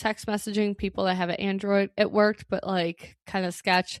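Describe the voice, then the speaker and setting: A woman's medium-pitched, unremarkable speaking voice at a moderate pace, dry and close with no echo. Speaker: Airbnb host and podcaster. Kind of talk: casual podcast talk.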